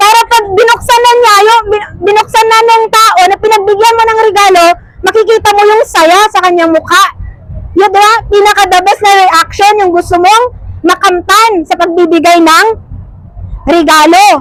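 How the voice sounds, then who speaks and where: An extremely high-pitched woman's voice with fairly even intonation over noticeable background noise. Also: moderate pace, very even loudness. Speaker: preacher. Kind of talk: sermon. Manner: loud.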